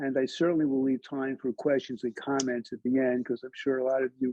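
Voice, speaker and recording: This man has a Brooklyn accent and a medium pitch. He talks at a moderate pace with monotone, flat intonation. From Brooklyn, New York City. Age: 70s. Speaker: historian, lecturer. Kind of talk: lecture. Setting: library talk with audience. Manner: halting, many fillers.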